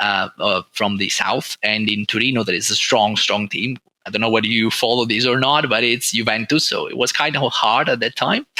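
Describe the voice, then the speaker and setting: A man with an Italian accent speaks at a moderate pace and a medium pitch. His intonation is fairly even, with hardly any pauses. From northern Italy, Turin. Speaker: oncologist. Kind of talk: interview. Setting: podcast recording. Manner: halting.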